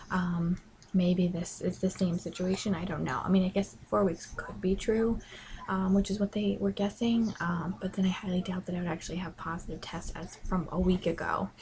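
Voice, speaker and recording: Quiet and fairly even in intonation, a woman talks at a medium pitch. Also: moderate pace. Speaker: pregnancy vlogger. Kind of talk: casual vlog. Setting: bedroom at home. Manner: hesitant, many ums.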